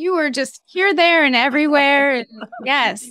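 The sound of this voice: A woman with a high pitch, bright, sharp tone, moderate pace and ordinary pitch variation.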